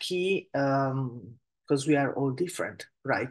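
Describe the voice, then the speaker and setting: A very slow pace with an Italian accent and ordinary pitch variation. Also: woman. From Italy. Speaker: Pilates and movement teacher, podcast host. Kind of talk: solo podcast talk. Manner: halting, many fillers.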